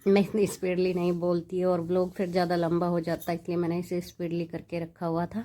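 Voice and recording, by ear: A woman's fairly low-pitched, dark and mellow voice at a fairly quick pace with little pitch movement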